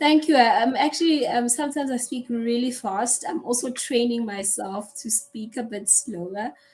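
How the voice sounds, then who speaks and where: The voice has lively intonation and hardly any pauses. Noticeable background noise is present. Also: woman, high pitch for a woman. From South Africa. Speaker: online English tutor. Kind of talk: casual conversation lesson. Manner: slow.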